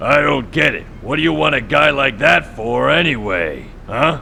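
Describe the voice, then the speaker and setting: A man puts on a raspy character voice at a medium pitch, with very wide pitch swings. He talks at a moderate pace over clear background noise. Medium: video game. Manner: fretful, earnest.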